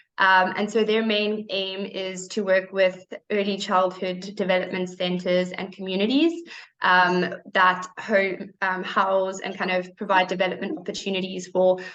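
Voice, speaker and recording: Speaking in a South African accent, a woman talks fairly slowly at a medium pitch in a monotone, flat intonation. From South Africa, Cape Town. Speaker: program staff presenter. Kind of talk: presentation. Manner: hesitant, many fillers.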